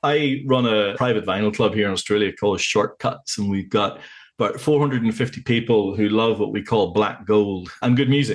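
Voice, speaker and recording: The speaker has a Northern Irish accent, talks at a fairly quick pace, and shows ordinary pitch variation. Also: man, fairly low pitch for a man. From Northern Ireland, County Tyrone. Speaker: vinyl club organiser, podcast guest. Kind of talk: casual chat.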